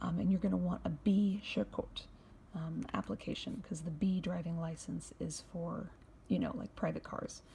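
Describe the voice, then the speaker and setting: A quiet voice at a moderate pace. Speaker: YouTube vlogger. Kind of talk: tutorial. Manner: casual.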